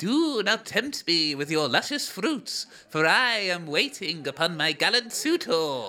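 A put-on character voice at a middle pitch delivers its lines at a fairly slow pace with hardly any pauses. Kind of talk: formal, storybook.

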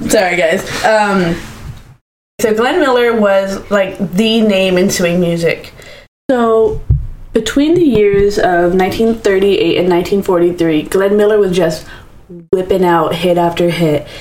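In a room with audible echo, a woman at a medium pitch speaks very slowly, keeping her loudness very even. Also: ordinary pitch variation. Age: 20s. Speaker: podcast co-host. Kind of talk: casual storytelling chat.

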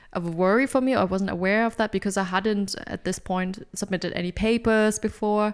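A woman with a non-native accent, medium pitch, fairly even intonation and a fairly quick pace, on a very clean recording with a silent background. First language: not English. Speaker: podcast co-host, PhD researcher and supervisor. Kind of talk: educational podcast discussion.

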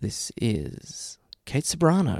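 Putting on a character voice, a man uses a soothing tone at a fairly high pitch. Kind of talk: easy listening radio. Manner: smooth, soothing.

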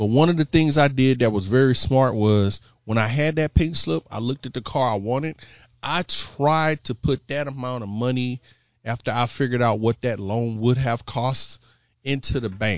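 A man with an American accent, an ordinary speaking voice, and a medium pitch, at a moderate pace. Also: ordinary pitch variation. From Houston, Texas. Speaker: financial educator, fraternity member. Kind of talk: casual chat. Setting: home, on mics with headsets.

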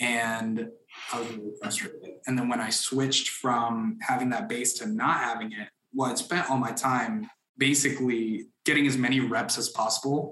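A normal speaking voice in an American accent, moderate in pace and lively in intonation. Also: man, medium pitch for a man. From Florida, Orlando. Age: 20s. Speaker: mortgage broker. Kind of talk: interview.

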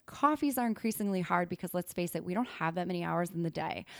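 A woman with a plain, everyday voice speaks at a medium pitch with ordinary pitch variation, on a very clean recording with a silent background. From Wisconsin. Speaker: PR consultant. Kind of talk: podcast interview.

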